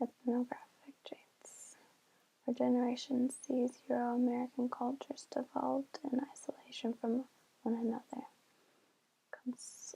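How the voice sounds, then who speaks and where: Soft-spoken and high-pitched, a woman talks at a fairly slow pace in a monotone, flat intonation. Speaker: ASMR creator. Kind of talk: reading an article aloud, ASMR style. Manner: soft-spoken, relaxing.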